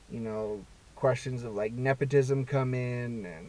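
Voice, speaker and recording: A man speaks at a fairly slow pace in a medium pitch. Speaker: vlogger. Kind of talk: casual monologue. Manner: halting, many fillers and repeats.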